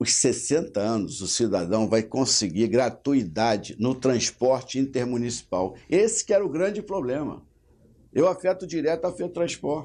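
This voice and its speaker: Against a quiet background, a man speaks at a moderate pace in a medium-pitched voice with a dark, mellow tone. His pitch swings very widely. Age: 60s. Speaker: state legislator. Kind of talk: interview.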